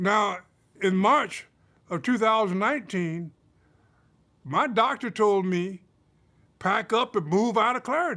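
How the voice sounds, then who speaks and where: A man's raised, projected voice, high-pitched with a bright, sharp tone and lively intonation, very slow with long, frequent pauses, on a very clean recording with a silent background. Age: 70s. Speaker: resident speaking at a town hall. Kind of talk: testimony. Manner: halting.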